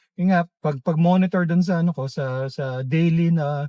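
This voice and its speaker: A man with high pitch at a moderate pace, in a dry, close sound with no echo. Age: 50s. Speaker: vlogger. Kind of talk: casual monologue. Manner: halting, many fillers.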